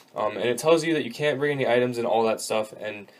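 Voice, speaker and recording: The man's voice sits at a medium pitch and varies in an ordinary way. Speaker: gaming YouTuber. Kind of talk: tutorial. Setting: kneeling over desk at home. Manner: loud; casual with many fillers.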